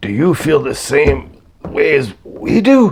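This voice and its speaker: A man puts on a raspy character voice at a fairly high pitch, speaking at a fairly slow pace. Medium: read story. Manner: whiny, excitable.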